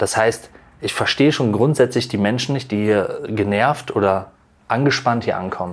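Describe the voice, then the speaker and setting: A man with an ordinary speaking voice, medium pitch and ordinary pitch variation, at a fairly quick pace. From North Rhine-Westphalia near the Dutch border. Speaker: chef. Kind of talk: interview.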